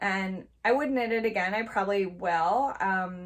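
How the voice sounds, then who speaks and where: At a fairly slow pace, a woman speaks with ordinary pitch variation. Her pitch is medium. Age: 30s. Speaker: knitting vlogger. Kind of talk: casual monologue, try-on review. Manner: casual with fillers and repetitions.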